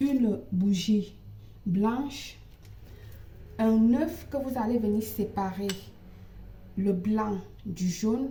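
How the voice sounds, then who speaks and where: A somewhat breathy, dark, mellow voice with a non-native accent speaks at a very slow pace with long, frequent pauses, over audible room echo. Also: woman, fairly high pitch for a woman, ordinary pitch variation. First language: not French (speaking French). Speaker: ritual practitioner and psychic. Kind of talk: tutorial. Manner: halting.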